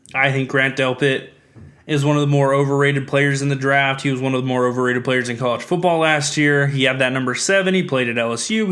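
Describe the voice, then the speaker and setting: Talking at a very fast pace, a man with a fairly high pitch is heard with audible room echo. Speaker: sports podcast host. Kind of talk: solo sports podcast commentary.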